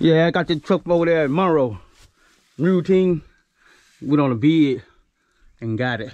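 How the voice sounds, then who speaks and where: A man with a Louisiana accent talks at a moderate pace with ordinary pitch variation and long, frequent pauses, his voice dry with no echo over a quiet background. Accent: Southern US (Louisiana). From northern Louisiana. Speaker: farmer and vlogger; vlogger. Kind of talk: casual vlog narration. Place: open country. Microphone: phone near.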